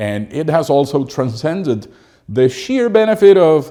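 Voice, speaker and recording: Man's dark, mellow voice with a Spanish accent, very wide pitch swings and a moderate pace. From Cuba. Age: 50s. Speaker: English teacher and doctoral student. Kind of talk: reading aloud a personal academic essay. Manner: formal.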